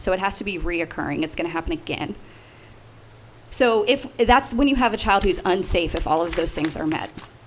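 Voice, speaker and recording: Lively intonation at a fairly quick pace over noticeable background noise. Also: woman, medium pitch for a woman. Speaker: state agency director. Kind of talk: committee testimony. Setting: legislative committee hearing. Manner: fast.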